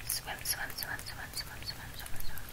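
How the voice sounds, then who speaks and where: Whispering in a playful tone, a woman speaks at a fairly slow pace. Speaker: vlogger. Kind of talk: casual vlog chat. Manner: soft, playful repeated murmur.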